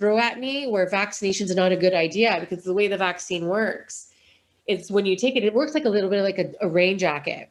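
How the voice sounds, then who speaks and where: Her voice is a plain, everyday voice, medium in pitch. A woman is talking, and her pitch variation is ordinary. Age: 40s. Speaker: charity founder. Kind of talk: interview.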